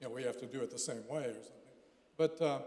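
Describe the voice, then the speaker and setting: Amid audible room echo and noticeable background noise, a man speaks with ordinary pitch variation. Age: 70s. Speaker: pastor. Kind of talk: conference talk. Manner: halting.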